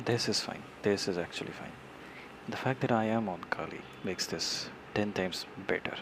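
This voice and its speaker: Amid noticeable background noise, a man with an Indian accent talks at a moderate pace, his fairly low voice held to a fairly even intonation. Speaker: software developer streamer. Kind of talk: live coding tutorial. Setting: live stream. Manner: halting, many repetitions.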